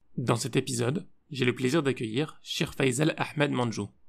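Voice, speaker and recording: An ordinary speaking voice belongs to this man. He varies his pitch in an ordinary way. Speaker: podcast host. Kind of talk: interview.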